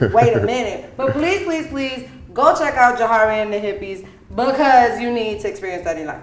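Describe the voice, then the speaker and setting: At a fairly quick pace, a speaker with an American accent uses lively intonation and an animated tone with big swings in loudness, amid audible room echo and noticeable background noise. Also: woman, fairly high pitch for a woman. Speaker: podcast host and singer. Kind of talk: casual chat.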